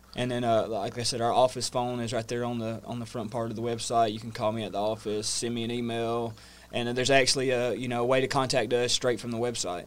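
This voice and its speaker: A man with a Southern US accent at a medium pitch, monotone and flat in intonation, very fast with hardly any pauses, over noticeable background noise. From US South, North Georgia. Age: 30s. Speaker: energy efficiency business owner. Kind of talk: casual interview. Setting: studio.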